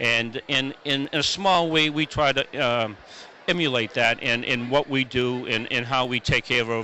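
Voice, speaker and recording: A man with an American accent, medium pitch and ordinary pitch variation, over noticeable background noise. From Massachusetts. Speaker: event organizer and veteran. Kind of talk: interview. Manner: halting, many fillers and repeats.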